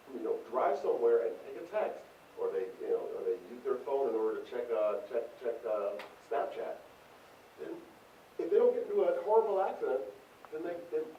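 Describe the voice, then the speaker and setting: Fairly quick speech with long, frequent pauses, audible room echo and noticeable background noise. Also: man. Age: middle-aged. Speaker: marketing professor giving feedback. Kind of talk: classroom feedback on student presentation. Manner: halting, many repetitions.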